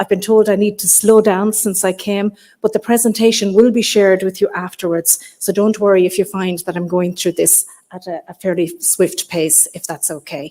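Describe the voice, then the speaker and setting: A woman with an Irish accent speaks at a medium pitch in a dark, mellow tone. Her intonation stays fairly even while her loudness swings widely. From Ireland. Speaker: keynote speaker, health service coaching lead. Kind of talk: keynote address. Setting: stage with live audience. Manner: fast.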